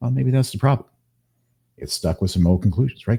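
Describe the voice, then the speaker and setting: A man's dark, mellow, somewhat breathy voice in an American accent, very fast, with very wide pitch swings. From Kansas, US Midwest. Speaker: hypnotist. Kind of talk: interview conversation. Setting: live video stream.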